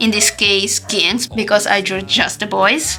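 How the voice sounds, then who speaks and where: A woman speaks with a non-native accent. Music plays in the background. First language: not English. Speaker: artist. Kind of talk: casual talk to camera. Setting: camera microphone.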